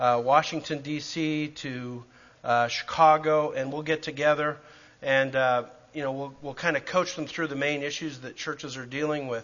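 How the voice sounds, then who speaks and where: A man with a Canadian accent and a fairly high pitch talks at a moderate pace in a normal speaking voice. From Canada, Calgary. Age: 50s. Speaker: preacher and church planter. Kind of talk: church class teaching. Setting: church with audience.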